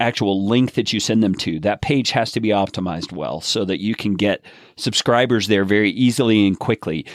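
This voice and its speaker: A man's fairly low-pitched, ordinary speaking voice, with ordinary pitch variation, in a very clean recording with a silent background and a dry, close sound with no echo. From USA. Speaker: podcast host. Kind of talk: podcast interview.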